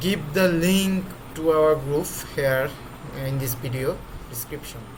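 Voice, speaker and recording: At a fairly slow pace, a man with a non-native accent and a fairly high pitch speaks with ordinary pitch variation, amid audible room echo and noticeable background noise. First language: not English. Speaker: trading tutorial creator. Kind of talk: screen-recorded tutorial. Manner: halting, with many fillers.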